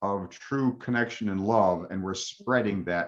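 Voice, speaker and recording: A man with a normal speaking voice talks at a fairly slow pace. His pitch is fairly low, with ordinary pitch variation. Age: 60s. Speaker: interviewer. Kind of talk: casual conversation.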